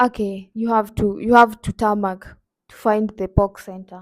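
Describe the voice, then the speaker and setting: On a very clean recording with a silent background, a woman speaks with a Kenyan accent at a fairly slow pace. Her fairly high voice stays monotone and flat. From Kenya, Nakuru. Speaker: YouTuber. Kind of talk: casual vlog.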